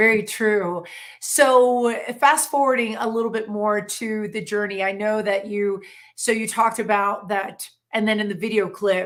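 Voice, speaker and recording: A woman with a plain, everyday voice speaks at a moderate pace, her fairly high pitch held in fairly even intonation. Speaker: talk show host. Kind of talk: interview questions.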